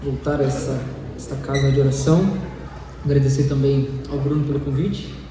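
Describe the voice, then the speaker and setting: In a room with audible echo and noticeable background noise, a man speaks at a fairly high pitch. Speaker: lay preacher. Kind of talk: sermon. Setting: church service with microphone.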